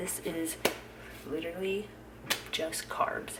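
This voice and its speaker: A woman whispering at a very slow pace, with audible room echo and noticeable background noise. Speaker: fitness trainer and vlogger. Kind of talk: casual vlog narration. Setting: at home, early morning.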